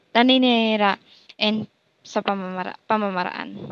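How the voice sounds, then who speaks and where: A soft-spoken woman talks at a moderate pace with a medium pitch. The sound is dry and close with no echo, over a quiet background. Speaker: education student. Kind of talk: class assignment reaction. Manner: halting.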